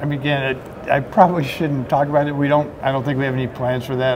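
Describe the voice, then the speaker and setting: Noticeable background noise underlies a man speaking at a very fast pace in a monotone, flat way. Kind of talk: interview answer. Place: hall. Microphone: handheld.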